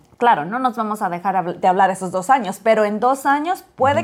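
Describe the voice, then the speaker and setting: A woman with an unremarkable speaking voice, fairly high-pitched, with lively intonation. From Monterrey, northern Mexico. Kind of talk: casual chat.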